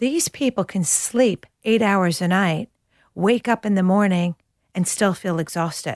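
The recording is very clean with a silent background and a dry, close sound with no echo. A woman speaks fairly slowly at a medium pitch with ordinary pitch variation. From New York, US. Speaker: nutritionist and author. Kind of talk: interview. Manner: animated.

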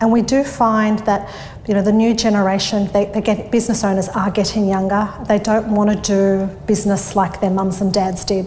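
Amid noticeable background noise and audible room echo, a woman with an Australian accent speaks at a moderate pace and medium pitch, flat and monotone, with hardly any pauses and very even loudness. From Australia, northwest Sydney. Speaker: bookkeeping business owner. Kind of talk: interview. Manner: hesitant, many fillers.

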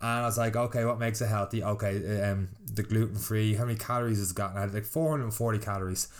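A man speaks very fast at a fairly low pitch. His intonation is fairly even and his loudness very even. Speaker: fitness podcast host and boot camp trainer. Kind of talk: casual solo podcast monologue.

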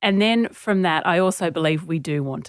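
A woman with an Australian accent speaks with ordinary pitch variation in a very clean recording with a silent background. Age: 40s. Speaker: author and journalist. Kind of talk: interview.

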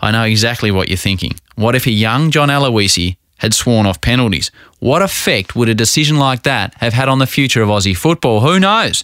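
With an Australian accent, a man speaks at a fairly quick pace, medium in pitch, with lively intonation and very even loudness. The recording is very clean, with a silent background. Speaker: podcast host and narrator. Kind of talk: scripted narration with interview.

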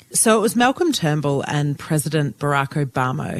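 Lively intonation in an Australian accent at a moderate pace, with a dry, close sound and no echo. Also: woman. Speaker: journalist and podcast co-host. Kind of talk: casual news chat.

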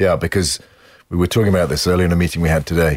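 A man with a British accent and a very deep, low pitch in a very clean recording with a silent background. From UK. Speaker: advertising executive. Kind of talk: interview. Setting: studio.

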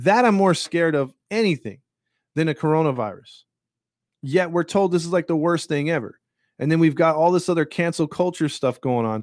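Using a plain, everyday voice, a man talks at a fairly quick pace and a fairly high pitch with ordinary pitch variation, the sound dry and close with no echo. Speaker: podcast host. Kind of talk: angry rant, heated and indignant, venting about government, media and covid; casual live podcast rant. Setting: live stream on a podcast platform. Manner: fired-up, indignant, rambling with frequent fillers.

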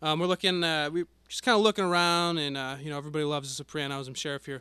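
With an American accent, a man talks at a very fast pace in a fairly high pitch and a bright, sharp tone. The sound is dry and close with no echo, over a quiet background. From Connecticut. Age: 20s. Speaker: podcast co-host. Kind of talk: casual chat.

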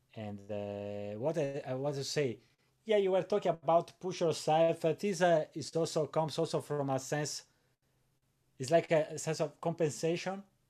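The tone is dark and mellow, with lively intonation at a moderate pace. The background is quiet. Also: man, fairly high pitch for a man. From Italy. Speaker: guitarist. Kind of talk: interview. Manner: halting.

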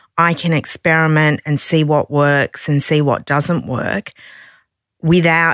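A woman with an Australian accent is heard with a dry, close sound and no echo. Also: very clean recording, silent background. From Australia, Sydney. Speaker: non-fiction publisher and author. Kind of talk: interview conversation.

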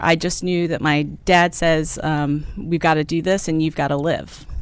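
A woman talks at a moderate pace with an American accent. Her pitch is fairly low, and she has a normal speaking voice. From Maryland, US. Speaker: consulting firm CEO. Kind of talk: interview.

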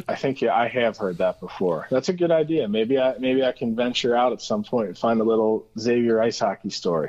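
A man with a Midwestern US accent talks at a fairly quick pace. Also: medium pitch for a man, ordinary pitch variation, hardly any pauses. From Cincinnati, Ohio. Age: 30s. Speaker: sports journalist. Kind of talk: casual interview. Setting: phone call.

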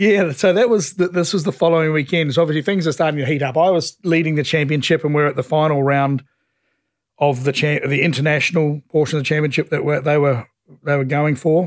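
Speaking very fast in a New Zealand accent, a man has a fairly high voice, fairly even intonation and very even loudness. The recording is very clean, with a silent background. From New Zealand, South Island (Ashburton). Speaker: racing team owner and former racing driver. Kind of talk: interview storytelling.

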